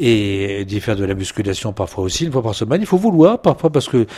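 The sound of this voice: A man's fairly low-pitched voice, slightly mellow in tone, at a moderate pace.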